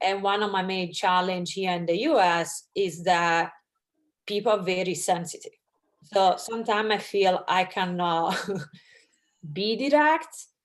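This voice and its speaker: A woman with an Italian accent speaks at a medium pitch and a fairly slow pace, leaving long, frequent pauses. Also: ordinary pitch variation. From Italy. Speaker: audience member. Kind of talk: Q&A question.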